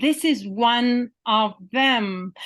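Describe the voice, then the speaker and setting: A woman speaks at high pitch with a Ugandan accent. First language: Luganda. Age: 50s. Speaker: poet and literature professor. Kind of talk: interview conversation. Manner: halting, many fillers and repetitions.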